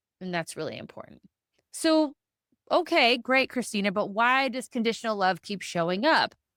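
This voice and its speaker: With an animated tone and lively intonation, a woman speaks at a moderate pace and fairly high pitch, her loudness swinging widely in a very clean recording with a silent background and a dry, close sound with no echo. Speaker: podcast host and therapist. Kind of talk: solo podcast monologue.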